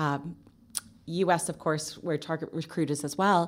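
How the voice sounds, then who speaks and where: A woman with a Canadian accent, fairly low pitch and fairly even intonation, an unremarkable speaking voice. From Canada. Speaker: marketing agency owner. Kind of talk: interview.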